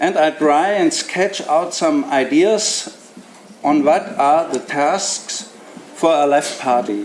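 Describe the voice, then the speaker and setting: A man's fairly high voice in a German accent, very slow and very even in loudness, with noticeable background noise. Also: lively intonation. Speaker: left party politician. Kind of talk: prepared speech.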